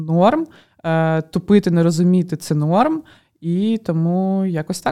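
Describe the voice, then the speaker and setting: Dark and mellow in tone, a woman speaks at a very slow pace and medium pitch with ordinary pitch variation. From Ukraine. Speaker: podcast co-host. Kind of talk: casual chat.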